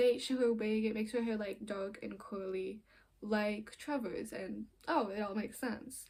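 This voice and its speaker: With a somewhat breathy, fairly high voice, a woman speaks at a moderate pace and ordinary pitch variation. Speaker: film reviewer. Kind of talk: casual video review monologue. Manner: halting, self-correcting; animated.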